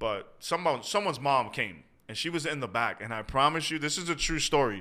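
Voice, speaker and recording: Recorded very cleanly against a silent background, a man speaks with a bright, sharp tone and lively intonation. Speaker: pastor. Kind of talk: casual podcast interview.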